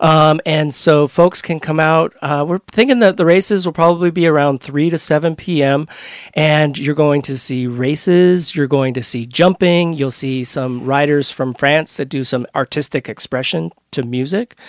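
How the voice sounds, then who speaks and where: A man with an unremarkable speaking voice and a fairly high pitch talks at a moderate pace, the sound dry and close with no echo. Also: ordinary pitch variation. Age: 40s. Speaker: event founder. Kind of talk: casual interview. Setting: studio.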